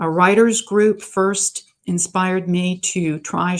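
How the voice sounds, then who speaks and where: Recorded very cleanly against a silent background, a woman talks at a medium pitch with ordinary pitch variation. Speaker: author giving a library talk. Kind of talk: presentation to a writers' group. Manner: halting with fillers.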